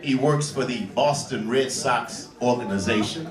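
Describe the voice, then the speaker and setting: A man amid noticeable background noise and audible room echo. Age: 60s. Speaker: jazz club emcee, Navy veteran. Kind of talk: emcee stage patter. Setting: stage with audience. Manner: animated.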